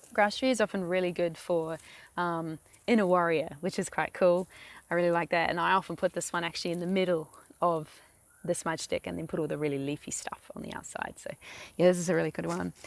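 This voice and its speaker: A woman with a New Zealand accent talks at a very fast pace, with fairly low pitch and fairly even intonation. The recording is very clean, with a silent background. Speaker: vlogger. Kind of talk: tutorial. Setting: outdoors beside a lake. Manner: casual, hesitant with many fillers.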